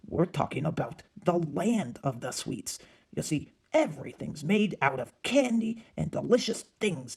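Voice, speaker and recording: A cartoonish character voice at a middle pitch and moderate pace. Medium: puppet show. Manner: calm, patient.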